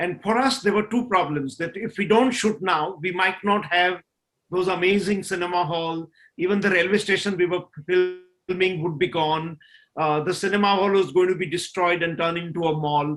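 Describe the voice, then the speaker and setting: With music in the background, a man with a Gujarati accent speaks at a moderate pace in a high voice with ordinary pitch variation. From India, Gujarat (Kathiawad). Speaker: film director and producer. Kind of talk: panel discussion. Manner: frequent fillers (uh, you know).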